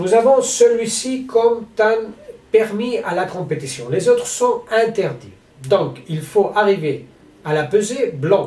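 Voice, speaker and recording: A man with a Spanish accent speaks at a high pitch and a very slow pace. His intonation is lively, and there is audible room echo. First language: Spanish (speaking French). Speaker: sports federation president. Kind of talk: announcement to athletes. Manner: halting.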